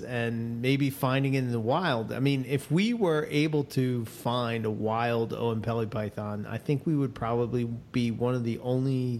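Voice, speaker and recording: A man speaks in a Philadelphia accent. His pace is moderate. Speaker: podcast co-host. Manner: casual, conversational.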